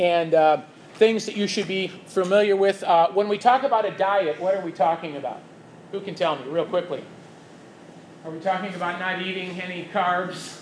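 Pausing long and often, a man with a Chicago accent talks in a high pitch, his loudness swinging widely, over noticeable background noise. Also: ordinary pitch variation, moderate pace. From US Midwest, Chicago. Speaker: church teacher. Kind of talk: lecture.

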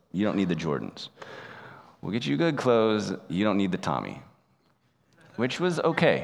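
Pausing long and often, a man with fairly low pitch and vocal fry speaks at a moderate pace, his pitch swinging very widely. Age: 30s. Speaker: pastor. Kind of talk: sermon.

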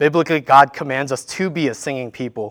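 A man speaks with a Korean accent at a fairly high pitch. His pitch variation is ordinary, and the recording is very clean with a silent background. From South Korea, moved to US in childhood. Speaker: worship leader preaching. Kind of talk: sermon. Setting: church.

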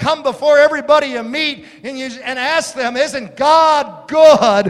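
An American-accented man with an animated tone, moderate pace and ordinary pitch variation, over noticeable background noise. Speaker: pastor. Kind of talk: sermon. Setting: church. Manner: animated, exhorting, repetitive; humorous storytelling.

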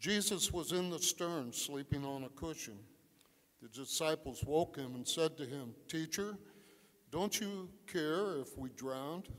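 A man with a fairly high pitch and an unremarkable speaking voice talks at a fairly slow pace. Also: ordinary pitch variation. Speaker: scripture reader. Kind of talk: scripture reading. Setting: church.

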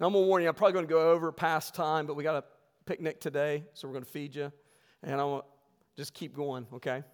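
A man with an American accent at a very fast pace, big swings in loudness, fairly even intonation, on a very clean recording with a silent background. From West Virginia. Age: 40s. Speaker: pastor. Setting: church. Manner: earnest, conversational pulpit delivery with emphatic rhetorical questions; self-correcting with frequent fillers and repeated words.

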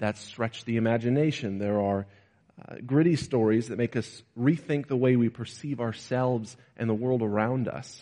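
An unremarkable speaking voice, this man's sits at medium pitch with ordinary pitch variation and a moderate pace. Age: 20s. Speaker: preacher. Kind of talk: sermon.

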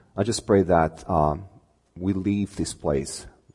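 His tone dark and mellow, a man speaks with a very deep, low pitch and fairly even intonation. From Romania. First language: Romanian. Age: 40s. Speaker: preacher giving a sermon. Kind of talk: sermon. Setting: church with congregation.

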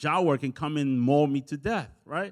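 A man with a Spanish accent on a very clean recording with a silent background. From El Salvador. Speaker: pastor. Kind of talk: sermon. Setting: church.

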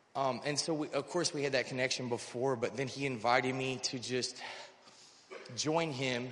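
A man keeps a moderate pace and fairly even intonation while noticeable background noise and audible room echo fill the recording. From North Carolina. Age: 30s. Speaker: recovery program resident. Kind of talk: testimony. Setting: church service. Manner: halting.

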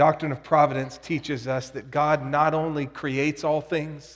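A man speaks at a fairly slow pace with a fairly high pitch. His intonation stays monotone and flat. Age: 40s. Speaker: pastor. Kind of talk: sermon.

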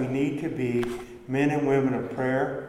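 Amid noticeable background noise, a man speaks with a fairly high pitch and fairly even intonation. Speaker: pastor. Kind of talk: sermon. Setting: church. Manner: fervent, rising intensity, preaching with urgent conviction; earnest, conversational, explaining.

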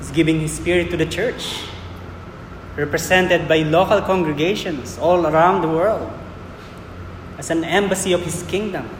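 Audible room echo and noticeable background noise surround a man with a high pitch and fairly even intonation, who speaks at a moderate pace with long, frequent pauses. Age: 40s. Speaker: preacher. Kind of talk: sermon.

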